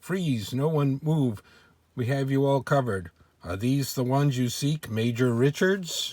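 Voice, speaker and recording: Using a put-on character voice, a husky man speaks at medium pitch and a moderate pace with ordinary pitch variation, recorded very cleanly against a silent background. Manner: barking commands.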